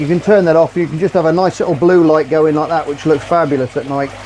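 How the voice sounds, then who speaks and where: A man speaks with fairly even intonation. Noticeable background noise sits behind him. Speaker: aquarium hobbyist youtuber. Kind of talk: tutorial. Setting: outdoors by a pond. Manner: loud; casual.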